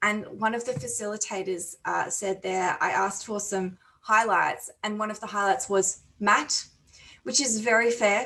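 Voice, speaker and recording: With an Australian accent, a woman talks at a moderate pace. Her tone is bright and sharp, with ordinary pitch variation. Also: medium pitch for a woman. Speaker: conference chair. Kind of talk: conference plenary speech. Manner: hesitant, many fillers.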